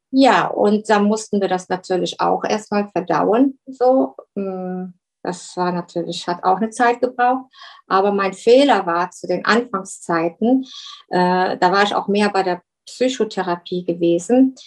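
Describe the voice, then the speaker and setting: Her voice at a medium pitch with ordinary pitch variation, a woman talks at a fairly slow pace. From Germany. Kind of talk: interview. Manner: halting.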